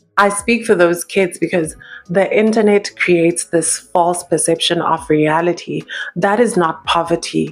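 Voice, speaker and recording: Over music in the background, a woman talks at a fairly slow pace in a fairly low pitch, with fairly even intonation and very even loudness. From South Africa. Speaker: YouTube commentator. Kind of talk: opinion commentary monologue. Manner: emphatic.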